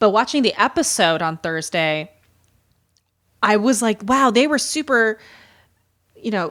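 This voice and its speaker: On a very clean recording with a silent background, a woman with an American accent and a fairly high pitch speaks at a fairly slow pace, with very wide pitch swings and long, frequent pauses. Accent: Midwestern, coming back. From US Midwest. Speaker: podcast co-host. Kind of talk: casual chat.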